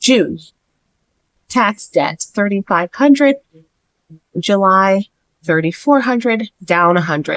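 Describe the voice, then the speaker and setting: At a fairly slow pace, a woman speaks at medium pitch with ordinary pitch variation, the sound dry and close with no echo. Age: 40s. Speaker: personal finance vlogger. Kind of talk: casual vlog update. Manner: hesitant, filler-heavy.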